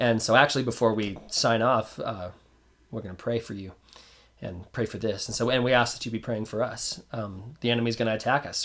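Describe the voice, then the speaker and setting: A man at a fairly quick pace, with monotone, flat intonation. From New Mexico. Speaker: podcast co-host. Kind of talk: casual chat; prayer.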